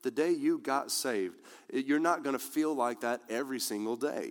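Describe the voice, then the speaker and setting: This man talks at a moderate pace, his medium pitch moving with ordinary variation. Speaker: pastor. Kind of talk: sermon, preacher in full flow, rousing pulpit delivery. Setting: church with live congregation. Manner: animated, fervent, call-and-response with congregation; passionate, emphatic, repeats key lines for emphasis.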